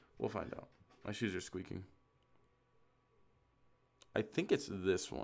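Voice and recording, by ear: Recorded very cleanly against a silent background, a man speaks with vocal fry at a fairly low pitch.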